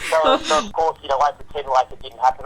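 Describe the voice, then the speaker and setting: A man's fairly high voice in an Australian accent at a very fast pace. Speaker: filmmaker and father. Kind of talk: casual chat. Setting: live online show.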